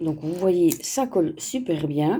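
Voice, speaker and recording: Her tone is dark and mellow. The woman's voice also sounds somewhat breathy. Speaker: crafts vlogger. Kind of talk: casual unboxing vlog. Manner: chatty, many fillers.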